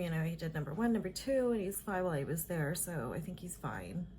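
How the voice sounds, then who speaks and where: A woman with an American accent speaks in a fairly low voice with vocal fry and ordinary pitch variation. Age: 50s. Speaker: vlogger. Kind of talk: casual chat. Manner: chatty, filler-heavy.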